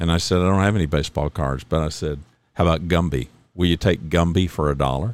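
With vocal fry and a very deep, low pitch, a man speaks at a fairly quick pace with ordinary pitch variation. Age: 60s. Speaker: podcast host. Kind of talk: solo monologue podcast. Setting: home studio. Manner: casual, conversational.

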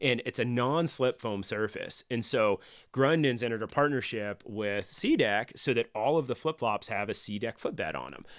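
In an American accent, a man with an unremarkable speaking voice talks at a moderate pace and medium pitch with ordinary pitch variation, recorded very cleanly against a silent background with a dry, close sound and no echo. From Northern California. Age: 40s. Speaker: outdoor gear sales rep. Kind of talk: casual chat.

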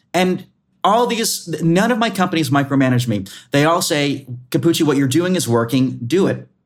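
A man speaks in an animated tone at a fairly high pitch, with very wide pitch swings. His loudness stays very even. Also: moderate pace. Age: 20s. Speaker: meteorologist. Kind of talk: interview. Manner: halting.

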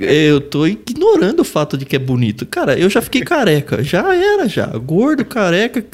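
Against noticeable background noise, a man talks at a moderate pace with hardly any pauses. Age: 40s. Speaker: podcast co-host. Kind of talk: casual chat.

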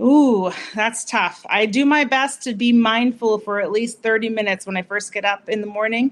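A woman with an American accent and a normal speaking voice talks at a moderate pace and fairly high pitch, with fairly even intonation and hardly any pauses. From Massachusetts, US. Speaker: doctor, pelvic health. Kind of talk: short interview.

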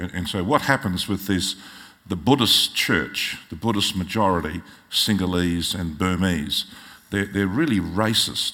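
A man with an Australian accent speaks at a fairly slow pace in a very deep, low voice with a bright, sharp tone. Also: ordinary pitch variation. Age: 60s. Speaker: pastor. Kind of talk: sermon. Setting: church.

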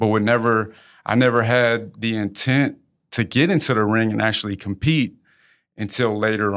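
A man with a plain, everyday voice speaks fairly slowly at a fairly low pitch, his intonation fairly even. The recording is very clean with a silent background. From Houston, Texas (born in Lafayette, Louisiana). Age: 30s. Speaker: businessman and former pro boxer. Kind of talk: casual interview. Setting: studio.

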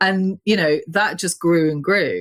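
A woman with a British accent speaks at a fairly slow pace in a very clean recording with a silent background. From UK. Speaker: gallerist and artist. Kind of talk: casual interview chat.

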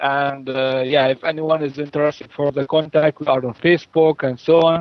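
With an Arabic accent, a man of fairly high pitch speaks at a moderate pace. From Palestine, Jenin. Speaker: farm project organizer. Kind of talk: interview. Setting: phone call. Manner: halting. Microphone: poor phone line, digital interference.

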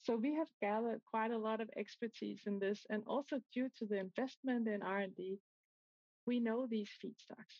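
A woman speaks at a moderate pace with a fairly high pitch and a slightly mellow tone. Her pitch varies in an ordinary way, and the sound is dry and close with no echo.

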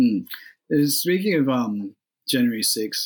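A man speaks with an Australian accent. His voice is fairly high in pitch, with lively intonation. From rural New South Wales, Australia. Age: 30s. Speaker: podcast interviewer. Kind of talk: interview. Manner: halting.

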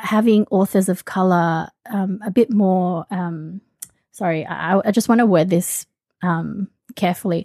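A woman speaks in a dry, close recording with no echo, her voice medium-pitched with a dark, mellow tone. She has an Australian accent and ordinary pitch variation. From Australia (born in the Philippines). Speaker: podcast host. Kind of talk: casual chat.

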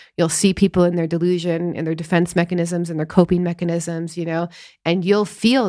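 In a very clean recording with a silent background, a woman speaks in an ordinary speaking voice at a fairly low pitch. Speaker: psycho-spiritual coach and podcast co-host. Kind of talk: casual conversational podcast discussion. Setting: studio podcast.

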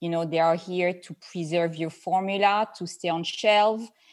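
With a French accent, a woman speaks at a fairly low pitch with ordinary pitch variation. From France. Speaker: skincare formulator and entrepreneur. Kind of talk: interview conversation. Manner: halting.

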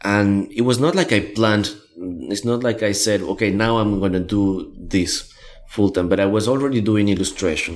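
Moderate pace in a Spanish accent, with ordinary pitch variation. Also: man, fairly low pitch for a man. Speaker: graphic recorder and trainer. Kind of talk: interview. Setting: in person in Melbourne. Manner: halting.

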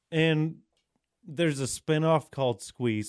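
With a quiet background and a dry, close sound with no echo, a man uses an ordinary speaking voice at a fairly slow pace with ordinary pitch variation. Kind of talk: casual chat.

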